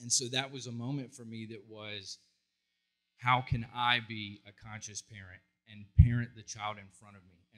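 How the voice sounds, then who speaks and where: Medium-pitched male voice at a moderate pace, monotone and flat in intonation, over a quiet background. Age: 40s. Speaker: psychologist and counselor. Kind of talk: conference talk. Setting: stage with audience. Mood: heartfelt, emotional storytelling. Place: stage. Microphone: handheld.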